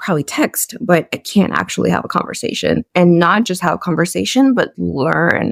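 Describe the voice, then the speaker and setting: In a dry, close recording with no echo, a woman talks at a moderate speed. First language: a European language, English learned as teen. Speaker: communications professional, podcast guest. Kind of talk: interview conversation.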